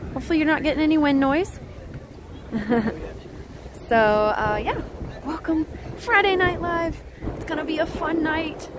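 Woman at a moderate pace with crowd noise in the background. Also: dry sound with no echo. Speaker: livestream host. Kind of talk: casual livestream chat. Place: waterside. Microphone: phone near.

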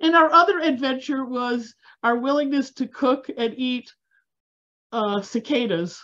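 A woman speaks at a fairly slow pace in a high pitch, her tone bright and sharp against a quiet background. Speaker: food history society organizer. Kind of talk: event moderation. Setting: video call. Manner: halting. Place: home room. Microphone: video call.

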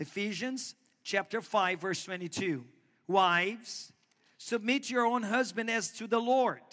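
A man with a Portuguese accent speaks at a very slow pace and a high pitch, with ordinary pitch variation. His tone is bright and sharp over a quiet background. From Brazil. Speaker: pastor. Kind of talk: sermon. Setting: church. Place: church.

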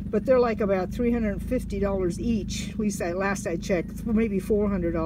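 Noticeable background noise sits under very slow speech, in a dry sound with no echo. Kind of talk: casual vlog chat. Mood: chatty, amused. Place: open country. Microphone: phone near.

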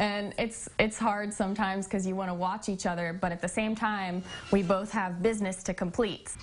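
A woman at a fairly quick pace in a monotone, flat intonation, with light background noise. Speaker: interviewee. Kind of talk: interview answer. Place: home room. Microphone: lapel.

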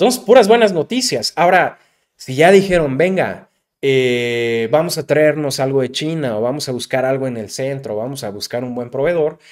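An animated man with a Mexican accent, fairly high-pitched, at a moderate pace, with lively intonation and big swings in loudness. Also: quiet background. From Mexico. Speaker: digital marketing youtuber. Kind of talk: tutorial.

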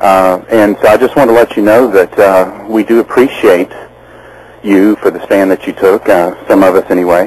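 A man with a normal speaking voice, fairly low in pitch, fairly even in intonation, at a moderate pace. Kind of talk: call-in encouragement to host.

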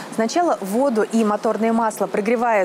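Light background noise sits behind a woman who talks at a moderate pace. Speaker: TV motoring reporter. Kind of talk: presenter piece to camera. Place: garage.

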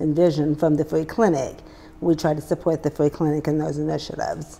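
A woman speaks at a fairly quick pace in a very deep, low pitch with monotone, flat intonation. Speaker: guest. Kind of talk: interview answer. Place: studio. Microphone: lapel.

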